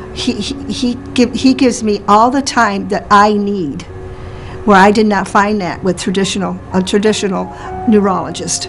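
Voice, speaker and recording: A woman at medium pitch with ordinary pitch variation and a moderate pace, music in the background. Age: 60s. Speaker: patient. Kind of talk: testimony.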